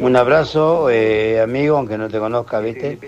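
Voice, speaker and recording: Noticeable background noise behind a man's medium-pitched voice with ordinary pitch variation. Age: 70s. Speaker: caller. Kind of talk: casual chat.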